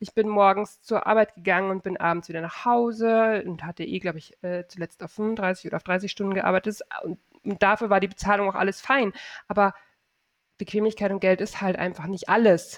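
A woman talks at a fairly quick pace in an ordinary speaking voice, medium in pitch with fairly even intonation and big swings in loudness. The sound is dry and close with no echo, over a quiet background. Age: 40s. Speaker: online shop owner and e-commerce coach. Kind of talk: casual interview chat.

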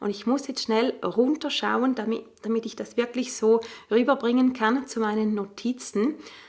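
The voice is an unremarkable speaking voice. Its rise and fall stays fairly level. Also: woman, fairly high pitch for a woman, moderate pace. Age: 40s. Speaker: stress coach and podcast host. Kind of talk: solo podcast monologue.

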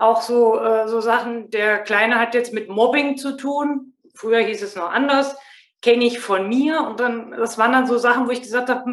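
A woman's high-pitched voice at a moderate pace, fairly even in intonation, with audible room echo. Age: 40s. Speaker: mother and former inner-child training participant. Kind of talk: casual interview.

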